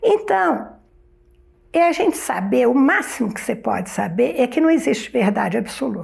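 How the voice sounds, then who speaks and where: A woman's fairly high voice with very wide pitch swings at a moderate pace, over noticeable background noise. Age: 70s. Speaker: retired philosophy professor. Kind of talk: interview.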